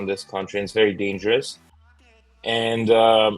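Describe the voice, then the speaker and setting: Music plays in the background as a man speaks with a Russian accent. His pitch is fairly low. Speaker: YouTuber. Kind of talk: interview answer.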